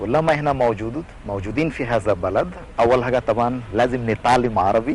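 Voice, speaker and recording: Noticeable background noise surrounds a man speaking at medium pitch with ordinary pitch variation. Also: fairly quick pace. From India. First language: not Arabic (Indian) (speaking Arabic). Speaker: priest. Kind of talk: TV interview. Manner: halting, non-native phrasing.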